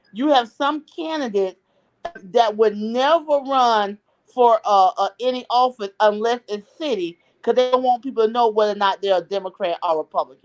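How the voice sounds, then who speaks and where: An unremarkable speaking voice at a moderate pace, with lively intonation and a dry, close sound with no echo. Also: woman, fairly high pitch for a woman. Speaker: political commentator guest. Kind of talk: talk show interview.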